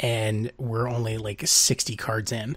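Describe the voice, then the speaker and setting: A somewhat breathy man in a very clean recording with a silent background. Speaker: podcast co-host. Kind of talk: casual chat. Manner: casual, many fillers.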